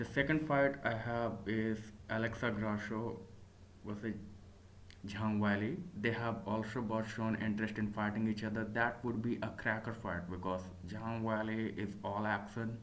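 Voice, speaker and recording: Amid audible room echo, a man with a non-native accent talks at a moderate pace in a fairly low voice with fairly even intonation. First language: not English. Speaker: MMA commentator / YouTuber. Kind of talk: solo commentary video. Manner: hesitant, with fillers and self-corrections.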